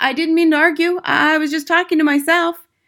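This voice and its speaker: A female-sounding put-on character voice, extremely high and fairly quick, with monotone, flat intonation. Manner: crying out, pleading.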